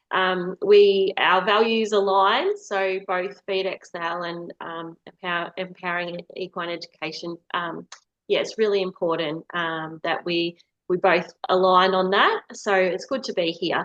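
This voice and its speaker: A woman with an Australian accent speaks at a fairly slow pace in a medium pitch, her intonation fairly even and the sound dry and close with no echo. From Western Victoria, Australia. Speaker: equine nutritionist. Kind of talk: webinar presentation. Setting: online webinar. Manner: halting, many fillers.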